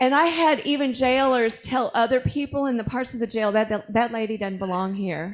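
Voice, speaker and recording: A woman speaks in an animated tone with a high pitch. Her pitch varies in an ordinary way at a moderate pace. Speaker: activist speaking of her jail time. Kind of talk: testimony.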